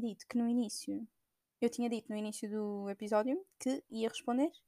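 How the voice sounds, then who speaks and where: At a moderate pace, a woman speaks with a fairly high pitch and ordinary pitch variation, in a dry, close sound with no echo. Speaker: podcaster. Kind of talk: casual monologue. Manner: hesitant, many fillers.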